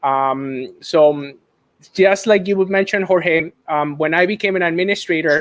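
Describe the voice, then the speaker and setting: A man with a Mexican accent talks at a moderate pace. His voice is high, with ordinary pitch variation. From Mexico. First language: Spanish. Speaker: school administrator, dual language advocate. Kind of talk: live-streamed casual conversation.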